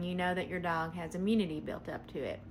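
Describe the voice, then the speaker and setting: A medium-pitched woman's voice in a Southern US accent, with fairly even intonation and audible room echo. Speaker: veterinarian. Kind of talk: answering a viewer question. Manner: casual, hesitant with frequent ums.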